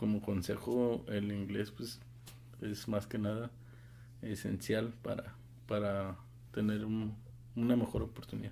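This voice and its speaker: A man's fairly low, dark and mellow voice at a fairly slow pace, with fairly even intonation and long, frequent pauses. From Mexico, Guadalajara. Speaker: engineer. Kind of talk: casual interview.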